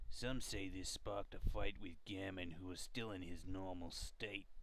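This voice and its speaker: In a put-on character voice, a man speaks at a very deep, low pitch against clear background noise. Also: moderate pace. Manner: rude, gruff.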